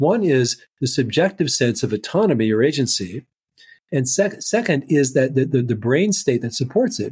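A somewhat breathy man's voice at medium pitch. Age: 60s. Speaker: neuropsychologist and author. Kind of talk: interview. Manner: halting, many repetitions.

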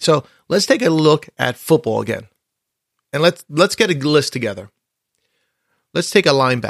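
Lively intonation and vocal fry mark a man's fairly high voice, delivered at a moderate pace. He leaves long, frequent pauses, and the sound is dry and close with no echo. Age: 50s. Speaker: podcast host and coach. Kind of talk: solo podcast monologue. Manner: conversational.

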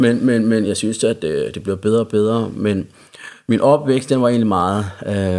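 This man speaks with a Jutlandic accent. His pitch sits fairly low. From Central Jutland, Denmark. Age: 30s. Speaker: recovering addict. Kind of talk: casual chat.

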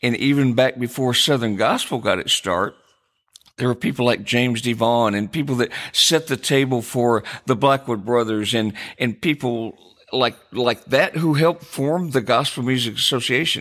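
This man has a plain, everyday voice at medium pitch and an American accent. He speaks at a moderate pace with ordinary pitch variation and very even loudness. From US Midwest (Jackson, Michigan). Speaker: podcast co-host, songwriter and music publisher. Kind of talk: casual chat.

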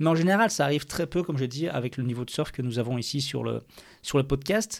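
In a very clean recording with a silent background, a man with a fairly high pitch and vocal fry speaks at a moderate pace with ordinary pitch variation. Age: 30s. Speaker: podcaster and amateur surfer. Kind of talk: solo podcast monologue.

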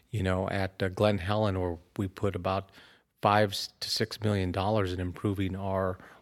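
On a very clean recording with a silent background, a man with a very deep, low pitch speaks at a moderate pace in monotone, flat intonation. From Southern California, Inland Empire. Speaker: county supervisor, elected official. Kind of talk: interview.

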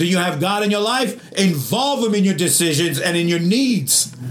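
A man amid noticeable background noise. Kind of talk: sermon. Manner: fervent, call-and-response preaching, urging the congregation to answer amen; bold, exhortative and encouraging, punchy short lines.

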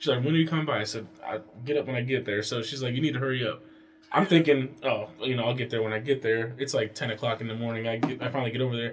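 Very fast speech comes from a man with an American accent, at medium pitch with ordinary pitch variation and noticeable background noise. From Pennsylvania and North Carolina. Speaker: podcast guest, family member. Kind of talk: casual chat.

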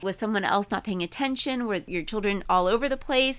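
An ordinary speaking voice from a woman, fairly high in pitch with lively intonation, on a very clean recording with a silent background. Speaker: podcast co-host. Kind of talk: casual podcast chat.

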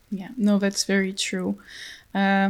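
A woman speaks at a medium pitch with a French accent. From France. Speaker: podcast host for a research project. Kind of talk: interview. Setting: online call.

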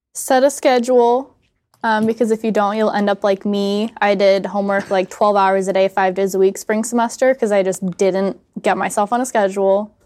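A woman speaks in an ordinary speaking voice with an American accent, at medium pitch and a moderate pace. Her intonation is fairly even, her loudness very even, and the sound is dry and close with no echo. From United States. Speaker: student magazine editor. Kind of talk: casual chat.

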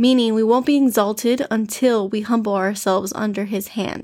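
A woman with an American accent talks at a moderate pace in an ordinary speaking voice, fairly high in pitch with fairly even intonation, on a very clean recording with a silent background. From US, Miami, Florida. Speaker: devotional podcast host. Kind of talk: devotional talk. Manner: informal, conversational.

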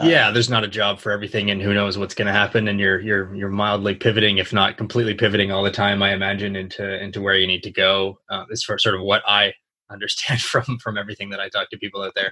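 A man with a fairly low pitch rushes along very fast in a flat monotone, with hardly any pauses. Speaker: podcast host, entrepreneur. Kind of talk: casual interview chat.

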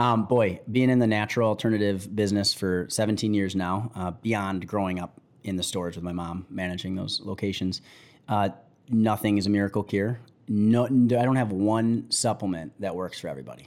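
The man has a plain, everyday voice with a fairly low pitch. He speaks at a fairly quick pace with fairly even intonation on a very clean recording with a silent background. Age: 30s. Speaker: entrepreneur. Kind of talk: casual chat. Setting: studio.

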